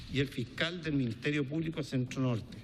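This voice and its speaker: This is a man speaking. He has a Chilean accent. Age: 60s. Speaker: businessman testifying before a congressional commission. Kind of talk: testimony.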